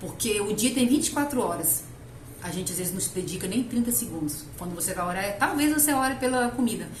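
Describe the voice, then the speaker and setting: A woman talks at a very fast pace in a medium pitch with very wide pitch swings. Audible room echo and noticeable background noise surround her. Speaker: lay preacher. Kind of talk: sermon.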